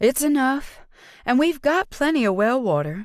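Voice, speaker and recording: Putting on a character voice, a woman speaks high with very wide pitch swings at a moderate pace. The recording is very clean and the background silent. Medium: read story. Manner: warm but terse.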